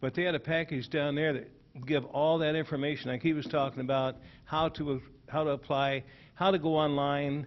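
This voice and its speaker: The man's pitch is fairly high. He keeps a moderate pace with monotone, flat intonation. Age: 70s. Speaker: audience member, veteran. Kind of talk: public meeting comment. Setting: township hall meeting.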